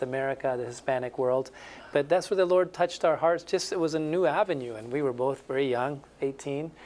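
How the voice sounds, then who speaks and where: The man's pitch is fairly high. He talks at a fairly quick pace with ordinary pitch variation. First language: Spanish. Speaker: missionary. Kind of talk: interview testimony.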